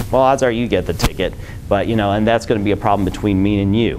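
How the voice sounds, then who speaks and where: With noticeable noise behind him, a man speaks at a very fast pace. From Michigan, Detroit; Michigan. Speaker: transportation planner; presenter. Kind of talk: presentation. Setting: lunch talk with live audience. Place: meeting room.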